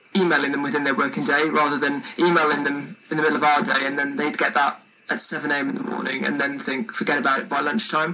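With a Welsh accent and a fairly high pitch, a man talks at a very fast pace with hardly any pauses and ordinary pitch variation, against noticeable background noise. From Wales. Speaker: singer-songwriter. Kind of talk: casual chat.

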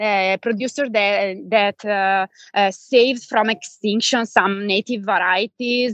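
In an Italian accent, a woman at medium pitch speaks at a very slow pace with hardly any pauses and fairly even intonation, the sound dry and close with no echo against a quiet background. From Italy, Bergamo (Lombardy). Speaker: wine educator and journalist. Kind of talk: interview conversation.

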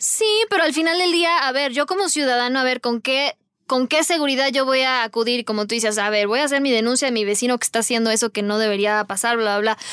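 Very fast female speech, high-pitched with lively intonation and very even loudness, in a dry, close sound with no echo. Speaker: podcast moderator. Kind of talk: panel discussion.

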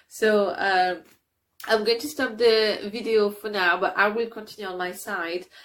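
With a non-native accent, a woman speaks at a fairly slow pace, her intonation fairly even but her loudness swinging widely. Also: medium pitch for a woman, very clean recording, silent background. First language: not English. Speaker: writing coach running a creativity challenge. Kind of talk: guided exercise tutorial. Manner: hesitant, many fillers.

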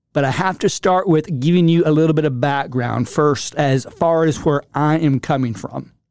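The delivery has ordinary pitch variation at a moderate pace. It is an ordinary speaking voice. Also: man, fairly high pitch for a man. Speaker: motivational speaker. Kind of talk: motivational talk with personal story.

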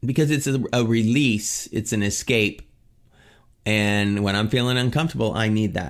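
At a moderate pace, a man talks with an ordinary speaking voice and a medium pitch. Ordinary pitch variation and very even loudness mark his delivery. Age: 50s. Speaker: fitness trainer and recovery coach. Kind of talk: motivational talk.

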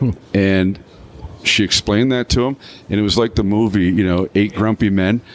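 Recorded dry and close with no echo, a man speaks at a fairly low pitch and a moderate pace. He leaves long, frequent pauses. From Canada. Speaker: vodka brand founder. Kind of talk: casual interview. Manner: animated storytelling.

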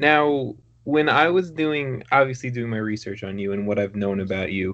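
A man speaks at a moderate pace with ordinary pitch variation. He has a plain, everyday voice. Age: 20s. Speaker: podcast host. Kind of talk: casual interview chat.

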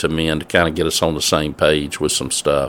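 A man with a Mississippi accent at a moderate pace. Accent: Southern US (Mississippi). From US South, north Mississippi. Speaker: church men's ministry director. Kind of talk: interview.

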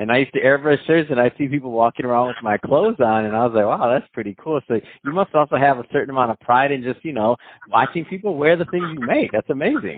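Speaking at a very fast pace with hardly any pauses, a man uses a medium pitch, an animated tone and lively intonation. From Michigan. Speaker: guest host. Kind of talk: casual chat.

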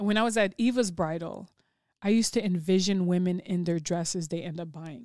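Fairly low in pitch with a dark, mellow tone, a woman speaks at a fairly quick pace with ordinary pitch variation and a Chicago accent, in a very clean recording with a silent background. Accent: Chicago American. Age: 40s. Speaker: mentor and public speaker. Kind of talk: casual interview. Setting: studio.

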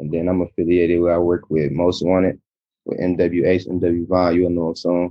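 A man with an American accent speaks in a very deep, low voice with flat, monotone intonation. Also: moderate pace. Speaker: rapper. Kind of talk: phone interview. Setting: phone call.

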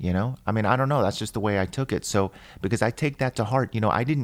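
A man with an American accent and ordinary pitch variation, in a very clean recording with a silent background. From grew up in a military family, Germany then a small US East Coast town. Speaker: celebrity hairstylist. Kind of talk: interview. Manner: halting, many repetitions and fillers.

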